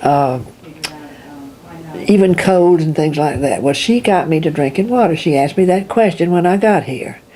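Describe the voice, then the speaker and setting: Long, frequent pauses break up a woman's lively intonation at a fairly low pitch, with noticeable background noise behind her. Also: moderate pace. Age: 80s+. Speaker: patient. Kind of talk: interview.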